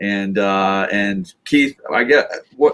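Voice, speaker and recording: The pitch swings very widely. The voice is loud. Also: man. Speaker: band member hosting live stream. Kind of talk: casual live stream chat.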